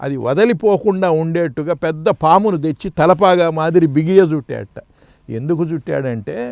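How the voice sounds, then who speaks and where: The sound is dry and close, with no echo. A man with a plain, everyday voice talks at a fairly high pitch with ordinary pitch variation. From Andhra Pradesh, Prakasam district. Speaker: spiritual teacher. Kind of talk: interview.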